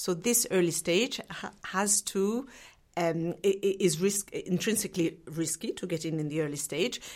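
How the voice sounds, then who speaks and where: This woman has a normal speaking voice at a medium pitch, with ordinary pitch variation and a moderate pace. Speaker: investment officer. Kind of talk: interview.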